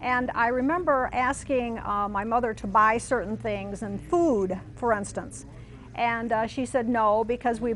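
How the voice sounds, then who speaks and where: An American accent at a fairly slow pace with ordinary pitch variation, with music in the background. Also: woman. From US Midwest, southern Missouri then Michigan. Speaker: interviewee recalling wartime childhood. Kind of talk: oral history testimony. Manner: hesitant, many fillers.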